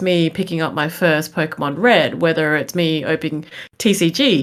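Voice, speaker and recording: A fairly low-pitched woman with an Australian accent, fairly even intonation, in a very clean recording with a silent background. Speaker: Twitch streamer. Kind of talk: podcast discussion.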